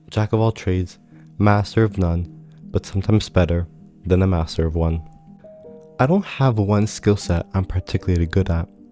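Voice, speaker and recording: A man's very deep, low voice at a moderate pace, fairly even in intonation, with long, frequent pauses and music in the background. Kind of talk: reflective personal narration.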